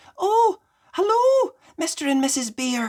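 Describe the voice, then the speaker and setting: This is a put-on character voice, squeaky and full of very wide pitch swings. It moves at a fairly slow pace. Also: female-sounding voice, extremely high pitch for a woman. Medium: read story. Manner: polite, gentle.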